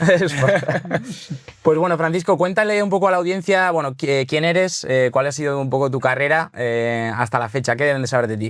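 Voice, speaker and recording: With noticeable background noise behind him, a man with a Basque accent speaks at a fairly high pitch with lively intonation. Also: moderate pace. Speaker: podcast host, content director. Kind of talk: casual podcast interview.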